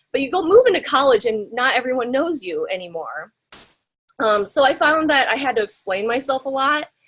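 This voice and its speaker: With a Midwestern American accent, a woman talks at a fairly quick pace in a high voice full of very wide pitch swings. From US Midwest, small-town Iowa. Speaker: graphic designer. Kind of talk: guest lecture. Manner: casual, many fillers.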